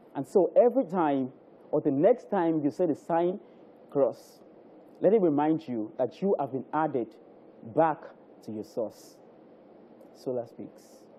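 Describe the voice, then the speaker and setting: Speaking in a Nigerian accent, a man with a fairly high pitch and a dark, mellow tone moves at a fairly slow pace with long, frequent pauses. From Nigeria (Lagos). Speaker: spoken word poet. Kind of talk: spoken word poem performance, rhythmic devotional verse on the cross and resurrection. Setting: live TV studio. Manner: rhythmic, cadenced delivery with repetition and refrains; fervent, preacher-like building emphasis. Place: studio. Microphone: handheld.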